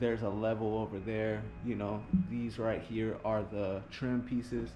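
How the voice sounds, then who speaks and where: Over music in the background and with audible room echo, a man speaks at a medium pitch and a fairly slow pace, his intonation fairly even. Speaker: handyman. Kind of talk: tutorial. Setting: indoors in a customer's home. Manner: casual, filler-heavy.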